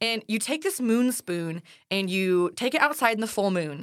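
A woman with an ordinary speaking voice, medium-pitched for a woman, with lively intonation at a moderate pace. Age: 20s. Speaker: teacher, podcast co-host. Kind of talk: casual chat.

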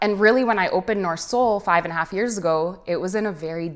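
The speaker has a plain, everyday voice with a Canadian accent. The pace is fairly quick, and the pitch varies in an ordinary way. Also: woman. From Canada. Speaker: artist. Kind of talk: casual interview.

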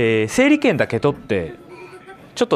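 A man talks against noticeable background noise. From Sapporo, Hokkaido. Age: 30s. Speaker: podcast host. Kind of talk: casual monologue.

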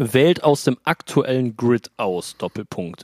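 Recorded dry and close with no echo, a man speaks very slowly with lively intonation. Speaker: podcast co-host. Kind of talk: casual chat. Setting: remote call from beach on holiday.

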